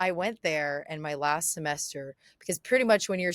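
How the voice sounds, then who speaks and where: A woman's lively intonation at a moderate pace, on a very clean recording with a silent background. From US West Coast, Los Angeles. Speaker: relocation business founder. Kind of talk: podcast interview.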